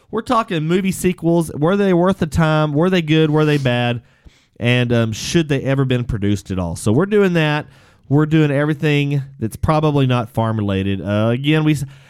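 A man with an American accent uses a normal speaking voice at a fairly high pitch, with lively intonation and a moderate pace, on a very clean recording with a silent background. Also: very even loudness. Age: 30s. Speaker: podcast host. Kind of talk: casual chat. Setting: studio.

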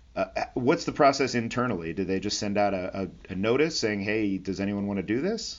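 Using an ordinary speaking voice, a man talks at a fairly quick pace with a fairly low pitch and ordinary pitch variation. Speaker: aviation podcast host. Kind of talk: interview.

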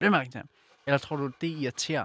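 Fairly high in pitch, a man talks in a normal speaking voice with ordinary pitch variation. The recording is very clean, with a silent background and a dry, close sound with no echo. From Silkeborg, Jutland. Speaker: podcast co-host. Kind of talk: casual chat; reading aloud.

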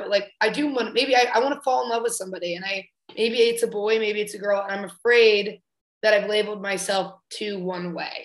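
Ordinary pitch variation and a fairly quick pace in an unremarkable speaking voice. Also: woman. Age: 20s. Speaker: comedian. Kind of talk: casual chat. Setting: video call.

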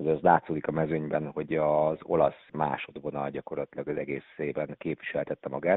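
Very deep and low in pitch, a man talks at a fairly quick pace in a monotone, flat intonation. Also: hardly any pauses. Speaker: fencing head coach. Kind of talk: radio interview answers.

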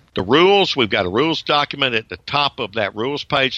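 With an American accent, a man talks at a fairly quick pace in a medium pitch and a bright, sharp tone against a quiet background. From US South, Georgia. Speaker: retired professor, ham radio operator. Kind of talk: interview.

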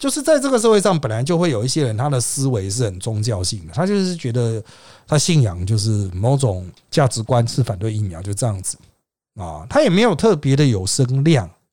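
A somewhat breathy man at medium pitch with very wide pitch swings and a fairly quick pace, in a very clean recording with a silent background. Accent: Taiwanese. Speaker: political commentary podcast host. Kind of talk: solo commentary monologue.

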